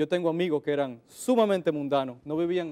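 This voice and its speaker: A man's high voice with a dark, mellow tone, ordinary pitch variation and a moderate pace. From Dominican Republic. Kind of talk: interview. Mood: calm, friendly, smiling. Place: studio. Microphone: lapel.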